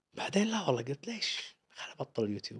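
A man with a Kuwaiti accent at a very fast pace against a quiet background. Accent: Kuwaiti Gulf Arabic. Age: 40s. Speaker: travel vlogger. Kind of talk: interview. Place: studio. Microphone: studio mic.

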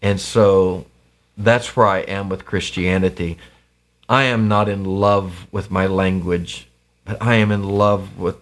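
A man with a fairly low pitch, monotone, flat intonation and a fairly slow pace. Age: 50s. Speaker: pastor and activist; pastor. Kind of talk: casual interview. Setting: home basement studio. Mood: reflective, earnest. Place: studio.

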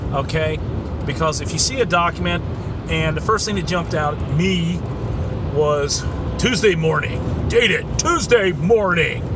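A man at a fairly slow pace with long, frequent pauses, dry sound with no echo, noticeable background noise. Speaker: vlogger. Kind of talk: casual vlog chat. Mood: earnest, mildly exasperated. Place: car. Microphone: phone near.

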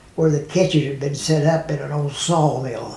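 With an American accent, a man talks at a moderate pace in a fairly high voice with fairly even intonation, and the room echo is audible. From United States. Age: 80s+. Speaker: war veteran. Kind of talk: interview answer. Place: home room.

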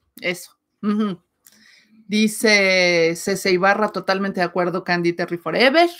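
A woman talks fairly slowly with fairly even intonation, the background quiet. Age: 40s. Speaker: writer and channel co-host; channel co-host. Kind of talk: casual livestream chat. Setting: live stream. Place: home room. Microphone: webcam.

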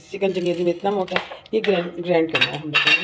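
Fairly even intonation marks this woman's fairly low voice. Audible room echo surrounds it.

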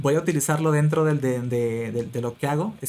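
Here a man speaks at a moderate pace with a fairly high pitch. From Peru. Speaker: frontend developer and online educator. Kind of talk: interview. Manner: halting, many repeated words.

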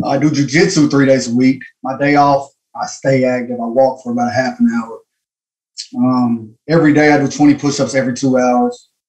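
With a Southern US accent, a man talks at a moderate pace with fairly even intonation against a quiet background. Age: 30s. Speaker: caller. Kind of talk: call-in question. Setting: phone call. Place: home room. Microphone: video call.

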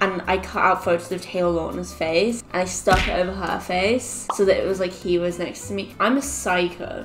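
A woman talks at a moderate pace with hardly any pauses. Noticeable background noise can be heard. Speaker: online creator. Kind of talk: casual vlog chat. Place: home room.

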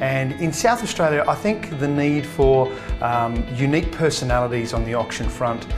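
Clear music plays in the background as a man talks. His pace is moderate and his pitch variation ordinary. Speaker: real estate auction trainer. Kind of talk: testimonial interview. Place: office. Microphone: lapel.

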